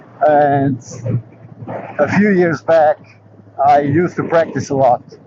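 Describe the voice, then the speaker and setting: A man speaks at a fairly slow pace with a fairly high pitch and fairly even intonation. Noticeable background noise runs beneath him. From Portugal, emigrated young to another country. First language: not English (English is third language). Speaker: motorcycle vlogger. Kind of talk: casual vlog talk. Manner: halting with fillers.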